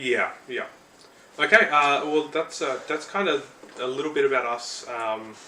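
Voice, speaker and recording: Noticeable background noise sits behind a man with an Australian accent. His pitch is fairly high with ordinary variation, and he talks at a fairly slow pace. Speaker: podcast co-host. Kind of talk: casual chat.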